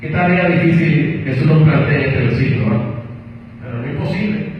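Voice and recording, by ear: Strong room echo surrounds a man with a fairly high pitch. He speaks at a fairly quick pace with ordinary pitch variation.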